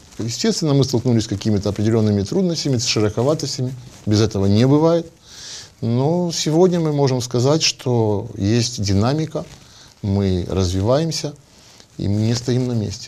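A man's dark, mellow voice at a moderate pace, with long, frequent pauses and light background noise. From Odesa, Ukraine. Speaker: catering company representative. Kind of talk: TV panel discussion. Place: meeting room.

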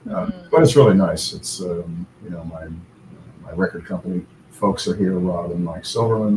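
Over noticeable background noise, a man with a very deep, low voice talks at a moderate pace. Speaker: remote interview guest. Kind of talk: interview answer. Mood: relaxed, friendly. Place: home room.

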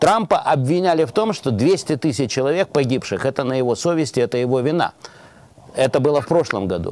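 A man talks at a fairly quick pace in a fairly high voice with very wide pitch swings, in a dry sound with no echo. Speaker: TV talk show host. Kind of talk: political talk show discussion. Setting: TV studio. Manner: formal. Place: studio. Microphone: lapel.

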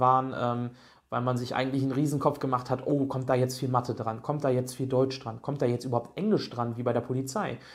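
A man's intonation stays fairly even as he talks at a fairly quick pace, and the background is quiet. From Germany, Berlin; Germany. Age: 20s. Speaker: job applicant sharing experience. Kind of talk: testimonial tutorial. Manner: hesitant, many fillers. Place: home room. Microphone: studio mic.

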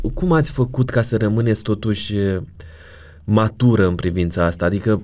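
Dark, mellow tone in a man's fairly low-pitched voice. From Romania. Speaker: podcast host. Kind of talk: casual interview. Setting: studio. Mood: warm, gentle. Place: studio. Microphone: studio mic.

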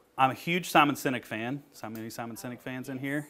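Talking at a fairly quick pace, a man delivers his words. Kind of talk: presentation talk. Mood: friendly, joking. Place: meeting room. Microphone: lapel.

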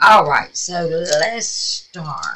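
A woman talks with a Southern US accent. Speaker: craft YouTuber. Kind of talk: casual craft tutorial. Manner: chatty, informal.

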